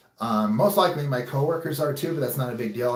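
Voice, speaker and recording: A man speaks with fairly even intonation. There is noticeable background noise. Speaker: YouTuber and ninja warrior competitor. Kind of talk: casual vlog talk to viewers. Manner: loud.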